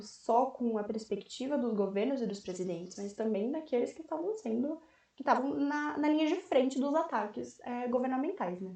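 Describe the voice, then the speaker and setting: Amid audible room echo, a woman with a high pitch and a dark, mellow tone talks at a fairly quick pace with lively intonation. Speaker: volunteer history teacher. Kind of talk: online lecture. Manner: fast; casual, slangy.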